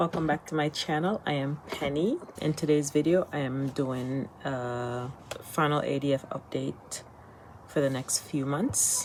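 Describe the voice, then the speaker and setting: A woman with an American accent and a very deep, low pitch, her intonation fairly even, amid noticeable background noise. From United States. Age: 50s. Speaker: vlogger, retired teacher. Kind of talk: casual vlog update. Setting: temporary location while travelling.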